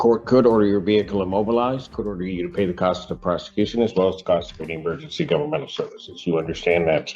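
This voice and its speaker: A man with a fairly low pitch talks at a very fast pace, with lively intonation and hardly any pauses. Noticeable background noise runs underneath. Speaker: judge. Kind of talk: court hearing. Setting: courtroom.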